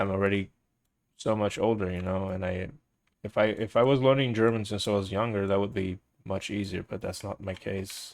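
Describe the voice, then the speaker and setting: On a very clean recording with a silent background, a man with a fairly low pitch and a slight non-native accent talks at a moderate pace in a monotone, flat intonation. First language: Portuguese. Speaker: live streamer. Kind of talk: casual chat.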